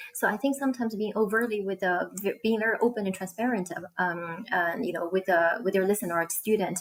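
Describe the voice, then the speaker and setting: A woman with a medium pitch and ordinary pitch variation talks at a very fast pace with hardly any pauses. Noticeable background noise is audible. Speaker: online ESL teacher and co-host. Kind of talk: live-stream conversation.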